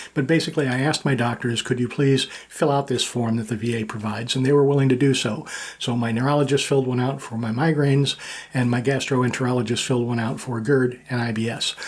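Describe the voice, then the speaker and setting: A man talking at a very fast pace with fairly even intonation, over noticeable background noise. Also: medium pitch for a man. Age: 60s. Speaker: military veteran and YouTuber. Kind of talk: personal vlog monologue. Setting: home studio. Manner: casual with frequent fillers.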